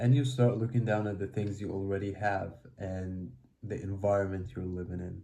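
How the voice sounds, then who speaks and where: Speaking with a non-native accent at a moderate pace, a man has a fairly low pitch and fairly even intonation. His tone is dark and mellow, and somewhat breathy. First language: not English. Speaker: self-help video creator. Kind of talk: motivational talk.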